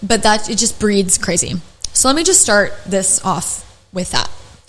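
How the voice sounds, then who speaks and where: With noticeable background noise and audible room echo, a woman with a fairly high voice speaks fairly slowly in an animated tone, her pitch swinging very widely. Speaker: podcast host, esthetician educator. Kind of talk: casual chat.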